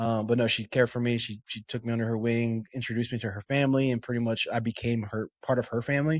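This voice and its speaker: A man with a Spanish accent talks at a very fast pace, with hardly any pauses. His medium-pitched voice has monotone, flat intonation and a dry, close sound with no echo. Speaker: Marine veteran and bodybuilder. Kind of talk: podcast interview, personal story. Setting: podcast recording. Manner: casual, many fillers.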